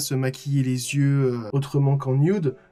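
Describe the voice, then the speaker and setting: A man's somewhat breathy voice has a fairly high pitch and a dark, mellow tone. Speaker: makeup artist and youtuber. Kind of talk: vlog tutorial. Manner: fast; stammering. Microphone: recorded without external mic.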